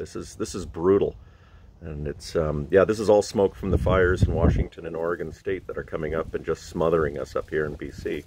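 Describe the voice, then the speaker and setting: A man speaks at a fairly quick pace with ordinary pitch variation, in a dry sound with no echo and noticeable background noise. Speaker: musician vlogger. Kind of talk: casual vlog chat. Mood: relaxed, friendly. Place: waterside. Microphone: phone near.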